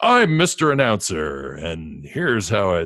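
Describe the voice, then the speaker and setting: A man puts on a character voice pitched fairly low. His pitch swings very widely at a moderate pace. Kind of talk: exaggerated announcer delivery. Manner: mock-pompous.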